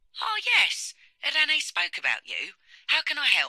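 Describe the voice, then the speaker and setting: In a put-on character voice, a woman squeaks at an extremely high pitch and a moderate pace, the sound dry and close with no echo. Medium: video game. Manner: polite, formal.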